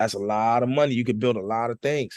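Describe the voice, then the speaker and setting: A man's medium-pitched voice at a fairly quick pace, with a dry, close sound, no echo and a quiet background. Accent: American. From New Jersey. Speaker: hip hop artist. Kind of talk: casual interview chat. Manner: animated.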